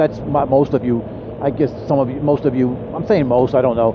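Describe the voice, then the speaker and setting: Noticeable background noise fills the clip. Over it, a man speaks at a very fast pace. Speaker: motorcycle vlogger. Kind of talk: casual vlog monologue. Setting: outdoors on a motorcycle. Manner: halting, stumbling for words.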